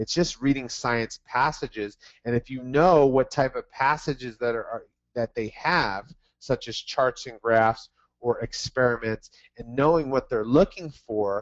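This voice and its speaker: Fairly slow and medium-pitched, a man uses an unremarkable speaking voice with ordinary pitch variation. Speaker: test prep tutor. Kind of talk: webinar presentation. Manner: repetitive fillers.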